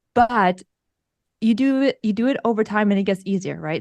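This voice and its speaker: The sound is close and dry, without any echo. Her voice, a woman's, is fairly high in pitch. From Russia, moved to US as a child. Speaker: podcaster. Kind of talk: interview. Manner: fast.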